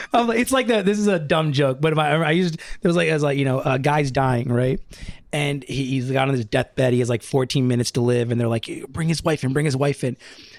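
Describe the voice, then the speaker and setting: Speaking at a very fast pace, a man with an American accent keeps very even loudness and ordinary pitch variation. Noticeable background noise runs underneath. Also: fairly high pitch for a man. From Brooklyn, New York. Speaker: film editor. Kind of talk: casual chat. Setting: living room.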